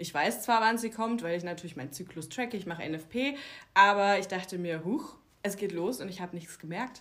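A woman talks at a fairly quick pace with a medium pitch and lively intonation. Hers is an unremarkable speaking voice. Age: 30s. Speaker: naturopath for women's health. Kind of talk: casual interview chat.

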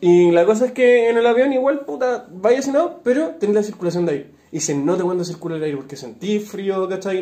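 A man with a high voice talks at a fairly quick clip, barely pausing, his pitch swinging very widely. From northern Chile, Iquique. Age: 20s. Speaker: podcast co-host. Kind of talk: casual chat.

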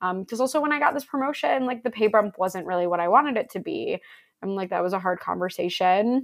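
In an American accent, a woman speaks at a very fast pace with lively intonation and medium pitch. The recording is very clean, with a silent background. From Buffalo, New York. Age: 20s. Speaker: recruiter and fiction writer. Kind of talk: interview conversation.

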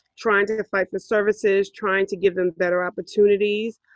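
A woman with a New York accent speaks in a medium pitch. The background is quiet. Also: dry, close sound with no echo. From New York City, Harlem. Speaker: podcast host, parent advocate. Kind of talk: casual podcast introduction.

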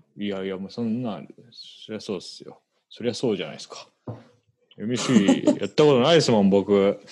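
A man's fairly low voice at a fairly quick pace, with ordinary pitch variation and big swings in loudness. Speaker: podcast host. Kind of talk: casual chat. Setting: recording at home late at night.

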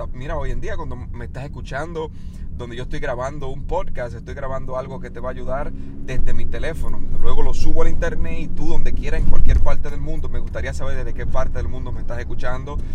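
A man talks at a very fast pace in an animated tone, with big swings in loudness. Noticeable background noise and audible room echo fill the recording. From Dominican Republic. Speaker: weight-loss podcaster. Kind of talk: motivational monologue. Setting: in a car.

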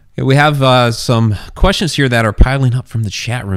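Here is a man with a plain, everyday voice. His pitch is medium and his pace is moderate. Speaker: podcast host and author. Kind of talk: casual interview chat. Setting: online livestream with chat.

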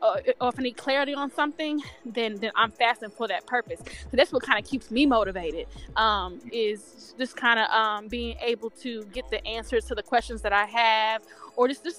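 A woman's fairly high voice rises and falls in an ordinary way while music plays behind her. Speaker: podcast guest. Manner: fast talker.

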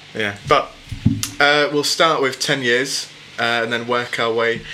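Noticeable background noise surrounds a man speaking at a fairly slow pace. His medium-pitched voice keeps fairly even intonation. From England. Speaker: podcast host. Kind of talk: casual chat.

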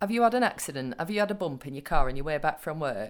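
On a very clean recording with a silent background, a woman's voice moves in very wide pitch swings. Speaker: co-host. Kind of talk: casual chat.

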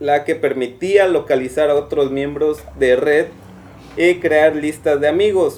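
Fairly high pitch from a man with a Mexican accent, at a fairly slow pace with ordinary pitch variation, amid noticeable background noise. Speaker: podcast co-host. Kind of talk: casual chat; reading aloud.

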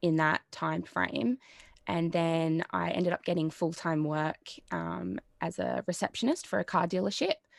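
A woman with an Australian accent, fairly low-pitched, at a moderate pace, recorded dry and close with no echo over a quiet background. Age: 20s. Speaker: psychology student. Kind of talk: casual chat.

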